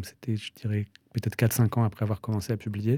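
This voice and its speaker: A man speaks fairly quickly in a dark, mellow, medium-pitched voice. The sound is dry and close with no echo, and the recording is very clean with a silent background. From France, Strasbourg. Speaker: novelist. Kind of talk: interview. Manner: halting, with hesitations.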